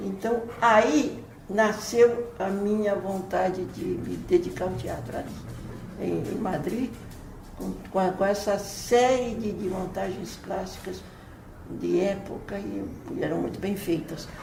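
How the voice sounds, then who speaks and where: Over noticeable background noise and audible room echo, a woman talks at a very slow pace with long, frequent pauses. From Brazil, São Paulo. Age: 80s+. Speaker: writer and playwright. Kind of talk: interview. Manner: halting, frequent repetitions.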